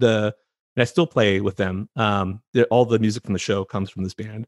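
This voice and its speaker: A man with a Californian accent talks at a moderate pace. The sound is dry and close with no echo, and the recording is very clean over a silent background. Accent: Californian American. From California, San Francisco Bay Area. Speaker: physician and podcast host. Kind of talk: interview.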